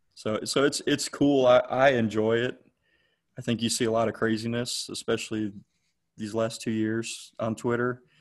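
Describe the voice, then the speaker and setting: Against a quiet background, a man speaks in a normal speaking voice at a moderate pace with fairly even intonation. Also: medium pitch for a man. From Georgia (moved from Cleveland, Ohio at about ten). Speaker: high school football coach. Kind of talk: casual interview.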